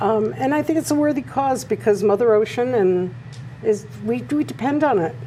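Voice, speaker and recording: A woman's fairly high voice swings very widely in pitch as noticeable background noise plays behind her. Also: moderate pace. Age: 70s. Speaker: artist. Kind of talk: interview.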